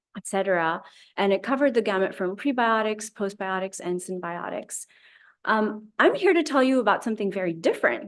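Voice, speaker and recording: Over a quiet background, a woman speaks at a medium pitch and a fairly quick pace. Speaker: scientist. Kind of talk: lecture. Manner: fast.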